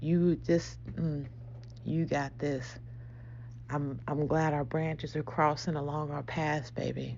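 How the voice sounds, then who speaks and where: Her speech comes out very slowly. This woman speaks in a whisper. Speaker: spiritual podcast host. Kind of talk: casual spiritual monologue. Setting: at home early morning. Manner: whispering; animated.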